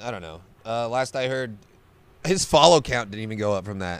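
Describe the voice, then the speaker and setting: This man has a plain, everyday voice at a medium pitch. His pitch variation is ordinary. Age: 20s. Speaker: MMA fighter and comedian. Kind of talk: casual chat.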